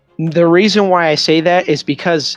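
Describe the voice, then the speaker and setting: Music plays behind a man talking at a moderate pace. The sound is dry and close with no echo, and his intonation is fairly even. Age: 20s. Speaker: podcast co-host. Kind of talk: casual chat.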